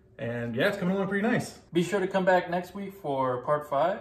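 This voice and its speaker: A man speaks at a fairly quick pace with ordinary pitch variation. Audible room echo surrounds his voice. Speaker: model channel host. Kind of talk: casual vlog outro. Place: home room.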